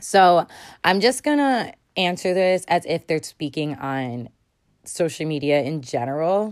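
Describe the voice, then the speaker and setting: A woman with a normal speaking voice talks at a fairly slow pace with lively intonation. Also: fairly low pitch for a woman. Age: 20s. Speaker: solo podcast host. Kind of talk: casual monologue.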